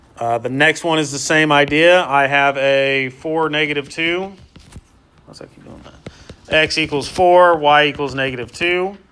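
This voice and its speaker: Music plays in the background as a man speaks with fairly even intonation. His voice is fairly high and swings a lot in loudness. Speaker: math teacher. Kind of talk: lecture. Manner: fast.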